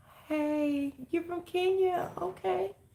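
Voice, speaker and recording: A soft-spoken woman talks at a high pitch with a dark, mellow tone. Her pitch swings very widely. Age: 50s. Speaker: livestream host, chronic illness vlogger. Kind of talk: casual livestream chat.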